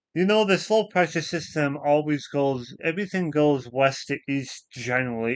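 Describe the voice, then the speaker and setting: With a quiet background, a man talks in a normal speaking voice. His fairly high pitch has ordinary variation, at a moderate pace. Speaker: weather streamer. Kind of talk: casual weather explanation livestream. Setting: live stream.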